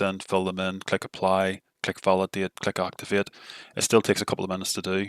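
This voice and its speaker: Very fast, fairly low-pitched man on a very clean recording with a silent background. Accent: Northern Irish. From Northern Ireland. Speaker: tech tutorial creator. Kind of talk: software tutorial. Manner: not very animated.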